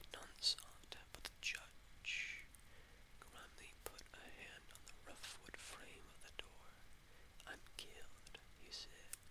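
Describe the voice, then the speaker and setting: Someone whispers at a very slow pace. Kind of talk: novel reading. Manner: soothing.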